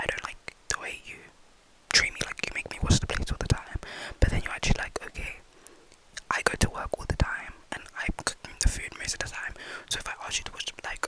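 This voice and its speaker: Whispering at a very fast pace amid noticeable background noise. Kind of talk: ASMR rambling talk to camera. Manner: whispered.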